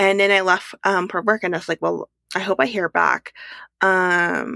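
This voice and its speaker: Recorded very cleanly against a silent background, a woman talks at a fairly slow pace with a dry, close sound and no echo. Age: 20s. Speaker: podcast host and entrepreneur. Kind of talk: casual solo monologue. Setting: home, walk-in closet. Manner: casual with frequent fillers and laughs.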